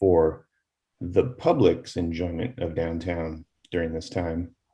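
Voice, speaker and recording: A man's somewhat breathy voice with a dark, mellow tone at a very slow pace, on a very clean recording with a silent background. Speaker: advisory board member. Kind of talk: public board meeting discussion.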